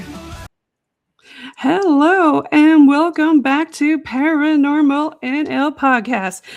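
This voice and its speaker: A woman with a high pitch speaks at a very slow pace, showing ordinary pitch variation and big swings in loudness. Music plays in the background. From Newfoundland, Canada. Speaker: podcast host. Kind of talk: radio show intro.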